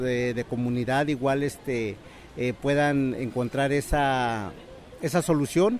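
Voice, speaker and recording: At a fairly slow pace, a man talks at medium pitch. His pitch varies in an ordinary way. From northern State of Mexico. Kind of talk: recorded interview. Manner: halting.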